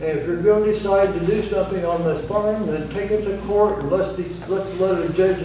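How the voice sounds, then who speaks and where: Against noticeable background noise and audible room echo, a man with a high pitch speaks at a fairly quick pace with fairly even intonation. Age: 80s+. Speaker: resident making public comment. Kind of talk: public comment at meeting. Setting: county board meeting. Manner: agitated.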